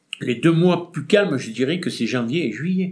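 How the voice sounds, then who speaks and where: A man speaks in a somewhat breathy voice. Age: 60s. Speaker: retired shopkeeper, former traders' association president. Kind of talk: interview. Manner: halting.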